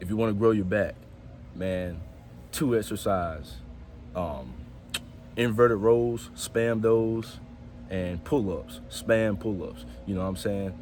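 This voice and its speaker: At a very slow pace, a man speaks with fairly low pitch and very wide pitch swings. His long pauses are frequent, and room echo can be heard. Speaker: fitness vlogger. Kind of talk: casual vlog talk to camera.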